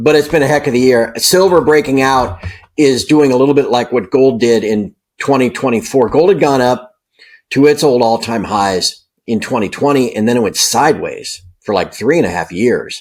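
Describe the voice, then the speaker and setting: A man talks at a moderate pace in an unremarkable speaking voice. His medium pitch moves with ordinary pitch variation. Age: 50s. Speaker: precious metals newsletter publisher. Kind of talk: interview. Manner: casual, filler-heavy.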